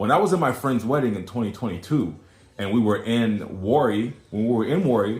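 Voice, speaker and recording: A somewhat breathy man with an American accent, with audible room echo. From USA. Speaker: social media commentator. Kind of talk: casual vlog monologue.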